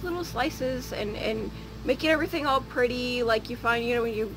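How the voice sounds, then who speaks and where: Background music behind a woman's voice. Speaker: home canning vlogger. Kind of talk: casual vlog chat. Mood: earnest, occasionally laughing. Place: street. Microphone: phone near.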